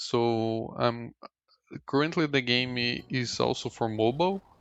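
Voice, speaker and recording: A man speaks with a Portuguese accent at a medium pitch and a fairly slow pace. His pitch varies in an ordinary way, and the background is quiet. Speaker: indie game developer. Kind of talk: tutorial. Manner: halting.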